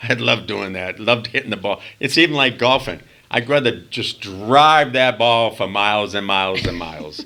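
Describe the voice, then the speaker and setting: A man with a Boston accent speaks at a moderate pace in a medium pitch, his bright, sharp tone carried by lively intonation. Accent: Boston accent, noticeable. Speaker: former stage performer. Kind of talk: casual chat interview storytelling. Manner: animated.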